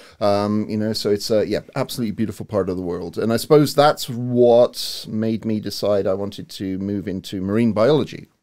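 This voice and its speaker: A fairly low-pitched man's voice with a dark, mellow tone, a fairly quick pace and ordinary pitch variation. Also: hardly any pauses. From England, Cornwall. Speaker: university provost and marine biologist. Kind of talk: podcast interview. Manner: hesitant with many fillers.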